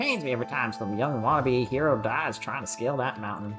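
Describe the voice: Over clear music in the background, a man puts on a character voice at medium pitch. He talks at a fairly quick pace with fairly even intonation.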